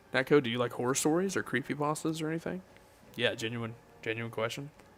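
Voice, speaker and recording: Medium in pitch with ordinary variation, a man with a Southern US accent talks at a fairly quick pace in an animated tone. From US South. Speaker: gaming streamer. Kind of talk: casual live stream chat. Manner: casual, animated.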